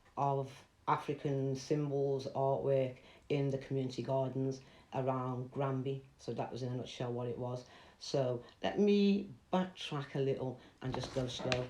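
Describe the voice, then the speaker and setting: Over audible room echo, a woman speaks at a moderate pace in a very deep, low voice with a dark, mellow tone and fairly even intonation. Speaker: artist. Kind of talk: online presentation talk.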